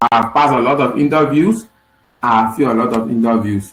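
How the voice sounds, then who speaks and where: A man speaks with a Liberian accent. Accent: Liberian, lighter than usual. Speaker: software engineer teaching a coding session. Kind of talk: online lecture.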